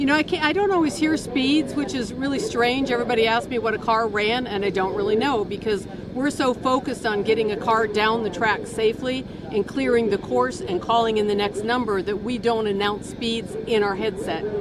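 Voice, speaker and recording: Speech with an American accent, hardly any pauses and ordinary pitch variation, with audible room echo and noticeable background noise. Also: woman, fairly high pitch for a woman, fairly quick pace. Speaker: race starter. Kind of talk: casual interview.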